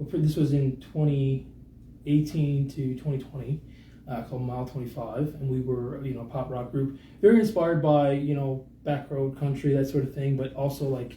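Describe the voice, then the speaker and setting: With a Newfoundland accent, a man speaks at a moderate pace in a fairly high pitch, his dark, mellow tone somewhat breathy and his intonation fairly even, with audible room echo around him. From Newfoundland, Central (Lewisporte). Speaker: singer-songwriter. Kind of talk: casual interview chat. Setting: radio studio, live streamed.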